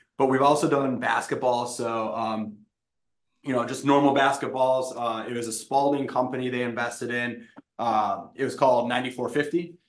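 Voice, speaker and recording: Speaking at a moderate pace with fairly even intonation, the voice carries an American accent over audible room echo. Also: man, medium pitch for a man. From Wisconsin. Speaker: tech startup founder. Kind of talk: interview.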